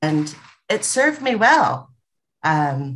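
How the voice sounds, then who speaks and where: A woman with a Californian accent speaks in a very deep, low pitch. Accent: California American English. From Los Angeles, US. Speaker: entrepreneur, former corporate director; podcast guest. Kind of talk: casual chat. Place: home room. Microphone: video call.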